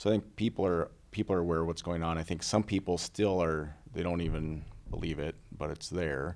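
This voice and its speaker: In an Upper Midwest accent, a man with a very deep, low pitch talks at a fairly quick pace with fairly even intonation. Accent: Upper Midwest (Minnesota). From Minnesota, Little Falls. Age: 40s. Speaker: political candidate and wildlife biologist. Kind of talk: casual interview chat.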